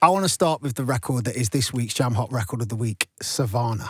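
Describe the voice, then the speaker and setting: Energetic and upbeat, a man with a Nottingham accent talks at a very fast pace in a medium-pitched, somewhat breathy voice. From Nottingham, England. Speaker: radio DJ and host. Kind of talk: radio interview. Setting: radio studio. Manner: energetic, upbeat.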